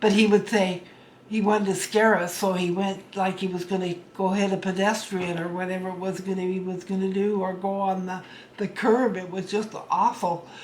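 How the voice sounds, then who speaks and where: A woman speaks at a moderate pace in a medium pitch with an American accent. Her intonation is flat and monotone, and the room echo is audible. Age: 70s. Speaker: storyteller. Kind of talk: personal reminiscence. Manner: halting.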